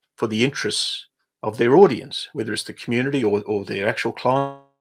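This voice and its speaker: A man speaks with an Australian accent and lively intonation. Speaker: business coach. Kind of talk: livestream webinar. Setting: livestream. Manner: halting.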